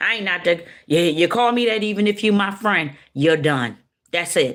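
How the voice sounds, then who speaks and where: Animated in tone, a woman talks at a moderate pace with very wide pitch swings. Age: 60s. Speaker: spiritual speaker. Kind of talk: personal testimony.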